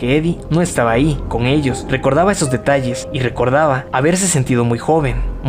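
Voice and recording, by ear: The text is read aloud by a speaker using a natural voice.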